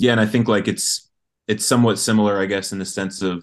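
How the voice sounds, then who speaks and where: This man has an American accent and talks at a fairly quick pace. His intonation is monotone and flat against a quiet background. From Colorado, US. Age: 20s. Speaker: sports fan guest. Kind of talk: casual chat.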